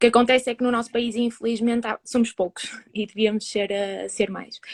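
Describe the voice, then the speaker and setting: Recorded dry and close with no echo, a woman speaks at a fairly high pitch in a monotone, flat intonation. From northern Portugal (Famalicão). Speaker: psychology student. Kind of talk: interview. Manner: halting.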